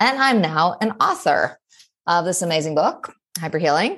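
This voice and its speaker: A woman's normal speaking voice, fairly low in pitch, with an American accent, lively intonation and a moderate pace. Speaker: ADHD coach and college lecturer. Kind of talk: interview conversation. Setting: remote call.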